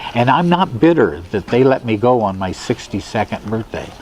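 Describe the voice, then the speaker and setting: A man speaks at a fairly slow pace. Noticeable noise sits in the background. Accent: American. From US Midwest, South Omaha, Nebraska. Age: 70s. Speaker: musician and bandleader. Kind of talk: oral history interview. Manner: halting, with many fillers.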